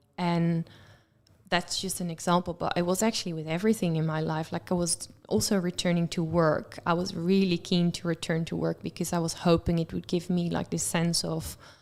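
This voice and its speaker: Delivery in a monotone, flat intonation moves at a fairly quick pace with a Dutch accent. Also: woman, fairly low pitch for a woman. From Netherlands. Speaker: guest sharing mental health experience. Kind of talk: radio interview.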